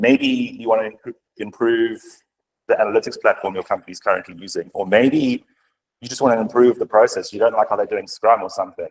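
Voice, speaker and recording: At a very fast pace, a man speaks with big swings in loudness in a dry, close recording with no echo. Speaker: senior software developer, conference speaker. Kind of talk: conference talk.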